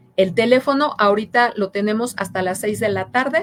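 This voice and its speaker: With a plain, everyday voice, a woman talks at a fairly high pitch and a moderate pace, using ordinary pitch variation. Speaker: public prosecutor's office official. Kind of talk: interview on public information.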